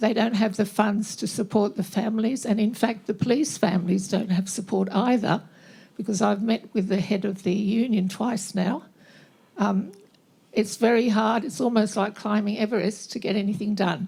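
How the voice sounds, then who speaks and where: Speaking at a moderate pace in an Australian accent, a woman with medium pitch sounds somewhat breathy, with a dark, mellow tone and fairly even intonation. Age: 80s+. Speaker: audience member, bereaved parent advocate. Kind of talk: impassioned statement from the floor.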